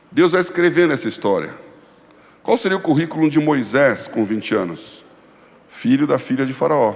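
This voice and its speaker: Pitched fairly high, a man speaks at a moderate speed. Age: 60s. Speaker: pastor and former finance executive. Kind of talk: conference talk.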